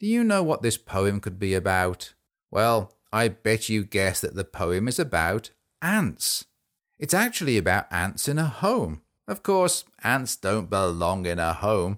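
In a very clean recording with a silent background, a man with an English accent speaks at a fairly low pitch and fairly slow pace, with lively intonation. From England. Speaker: children's podcast host. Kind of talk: children's poetry show. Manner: animated.

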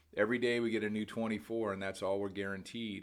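Fairly low-pitched male speech with fairly even intonation and audible room echo. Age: 50s. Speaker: podcast preacher. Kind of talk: sermon. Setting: at home by a window. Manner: casual, filler-heavy.

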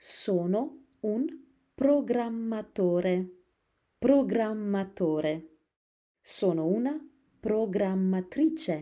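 At a very slow pace, a woman of medium pitch speaks with lively intonation and a dark, mellow tone. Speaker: Italian teacher. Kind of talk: language lesson. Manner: slow, repetitive.

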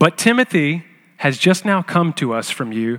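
A man with an unremarkable speaking voice uses lively intonation at a fairly high pitch. The recording is very clean, with a silent background. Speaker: scripture reader. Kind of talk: reading aloud.

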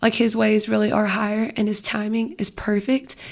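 A woman speaks at a moderate pace in a somewhat breathy voice with fairly even intonation. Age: 20s. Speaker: youth small group leader. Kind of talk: casual faith conversation.

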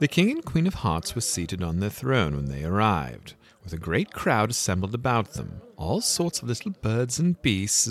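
A natural reading voice is heard in this clip.

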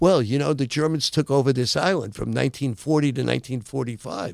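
Speaking at a fairly quick pace, a man with a medium-pitched voice shows vocal fry.

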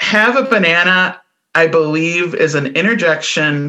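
A woman's bright, sharp voice, fairly low-pitched, with a Midwestern American accent. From US Midwest. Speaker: podcast co-host. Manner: casual, chatty.

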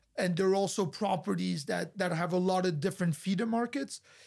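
A man with a French accent speaks at a fairly quick pace in a high pitch with ordinary pitch variation, on a very clean recording with a silent background. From France. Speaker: hotel group executive. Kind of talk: interview. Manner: halting.

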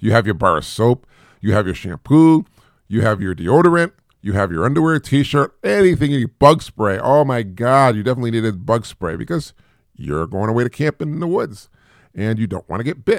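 The delivery is fairly quick, with an American accent and very wide pitch swings. The recording is very clean, with a silent background. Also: man, medium pitch for a man. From US inner city (small city, not Chicago or New York). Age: 50s. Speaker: podcast host, single father. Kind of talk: solo monologue podcast, casual. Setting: home, live-streamed video podcast. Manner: hesitant, many repetitions and fillers.

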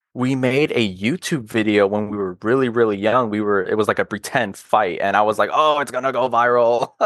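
A man speaks in a normal speaking voice with an American accent. His pitch is medium with ordinary variation, and his pace is moderate. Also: quiet background. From US South, North Carolina (Charlotte). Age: 20s. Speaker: car enthusiast. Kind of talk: casual chat.

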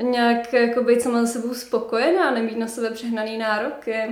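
Amid audible room echo, a woman talks at a fairly quick pace with a fairly high pitch and monotone, flat intonation. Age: young. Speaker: author and copywriter. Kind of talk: casual interview chat.

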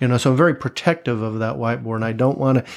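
In an American accent, a man talks at a medium pitch with fairly even intonation. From Tampa, Florida, US. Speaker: podcast guest in addiction recovery. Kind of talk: casual interview chat.

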